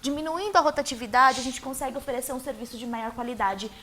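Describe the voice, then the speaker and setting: Over noticeable background noise, a woman uses a raised, projected voice at a high pitch with ordinary pitch variation. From Brazil, Osasco (São Paulo state). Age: 30s. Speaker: mayoral candidate. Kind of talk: TV interview.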